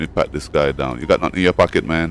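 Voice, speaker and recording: Speaking with a Jamaican accent, a man uses a very deep, low pitch with vocal fry. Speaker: gaming streamer. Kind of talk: gameplay commentary. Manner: animated.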